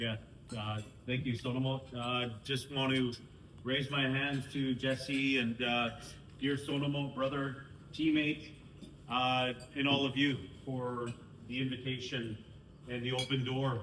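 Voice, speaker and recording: Speaking with a Canadian accent, a man with a medium pitch talks at a fairly slow pace, with long, frequent pauses and monotone, flat intonation. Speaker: First Nations councillor. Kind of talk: speech to a sports team.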